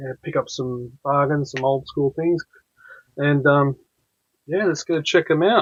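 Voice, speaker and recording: A man with an Australian accent, fairly slow, with long and frequent pauses. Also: fairly high pitch for a man, ordinary pitch variation, dry, close sound with no echo. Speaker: comics YouTuber. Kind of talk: casual chat. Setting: live stream. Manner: rambling with many fillers.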